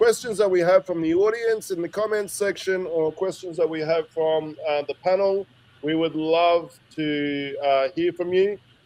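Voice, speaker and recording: Speaking at a fairly slow pace, a man with a high pitch talks in an Australian accent. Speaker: podcast host. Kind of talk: casual chat.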